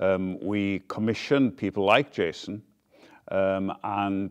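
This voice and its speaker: A man is speaking. He has a Welsh accent. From Wales. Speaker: founder of a community theater group. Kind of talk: interview; rehearsal coaching.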